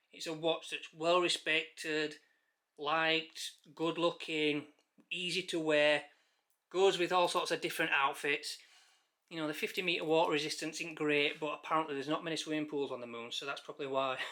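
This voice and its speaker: A man's fairly high voice, bright and sharp in tone, moves at a moderate pace across a very clean recording with a silent background. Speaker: watch reviewer. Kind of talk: casual product review. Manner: animated.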